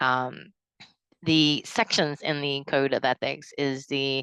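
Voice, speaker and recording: With a Southern US accent, a woman speaks in a very deep, low pitch with a bright, sharp tone and fairly even intonation. The sound is dry and close with no echo, over a quiet background. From US South, South Carolina. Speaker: counseling student. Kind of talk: class reflection video. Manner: halting, many fillers.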